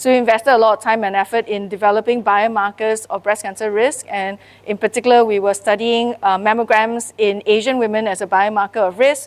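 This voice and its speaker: A woman talks fairly quickly with hardly any pauses, a fairly high pitch and a monotone, flat intonation. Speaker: cancer research scientist and organisation leader. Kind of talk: workshop presentation. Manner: fast.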